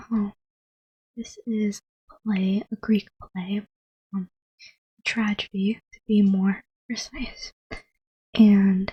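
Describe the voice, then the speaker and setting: Soft-spoken and somewhat breathy, a woman talks at a very slow pace in a dark, mellow, gentle tone with monotone, flat intonation and long, frequent pauses. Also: medium pitch for a woman, dry, close sound with no echo. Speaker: ASMR YouTuber. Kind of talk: dramatic reading of a Greek tragedy, voicing all roles herself. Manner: soft-spoken, gentle.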